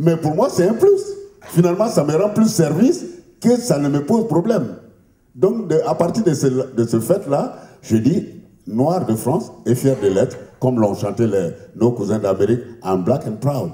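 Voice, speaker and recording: Somewhat breathy and dark, mellow in tone, a man's fairly high voice makes very wide pitch swings at a fairly slow pace. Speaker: radio journalist. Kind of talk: public debate speech.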